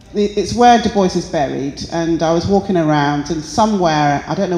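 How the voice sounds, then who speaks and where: The speaker has a British accent and keeps a moderate pace. Audible room echo fills the recording. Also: woman. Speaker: artist. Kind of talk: artist interview. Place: hall. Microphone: handheld.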